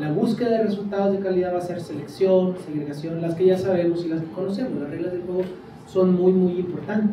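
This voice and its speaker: A man with a Mexican accent talks at a fairly quick pace, high in pitch with fairly even intonation. Audible room echo and noticeable background noise surround him. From Mexico. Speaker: education researcher. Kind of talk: lecture.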